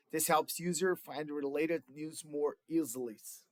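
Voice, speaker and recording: A man's fairly high voice in a Brazilian Portuguese accent, at a moderate pace, with a dry, close sound and no echo. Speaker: student. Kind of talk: class project presentation. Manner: halting, with fillers.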